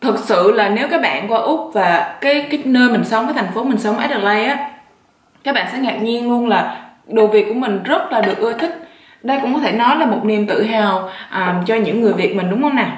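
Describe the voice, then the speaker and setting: Noticeable background noise and audible room echo surround a woman's voice. Her pitch is fairly high with ordinary variation, and her pace is fairly quick. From southern Vietnam. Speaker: YouTuber. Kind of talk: mukbang vlog, casual chat. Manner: relaxed, eating while talking.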